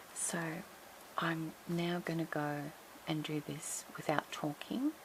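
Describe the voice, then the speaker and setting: A woman speaks quietly at a very slow pace with a fairly low pitch and fairly even intonation, over noticeable background noise. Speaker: crafting tutorial host. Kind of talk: tutorial. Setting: at home. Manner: quiet, low voice.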